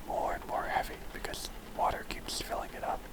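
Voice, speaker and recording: Someone whispers over noticeable background noise. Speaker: ASMR creator. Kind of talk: casual talk to listeners. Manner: soft-spoken.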